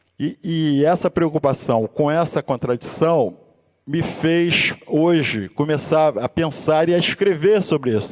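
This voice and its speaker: The man's pitch is fairly high, and he speaks at a very slow pace with very even loudness. The sound is dry and close, with no echo. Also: ordinary pitch variation. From Brazil, Rio de Janeiro suburbs. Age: 60s. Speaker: musician and university instructor. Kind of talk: seminar talk. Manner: halting, frequent restarts.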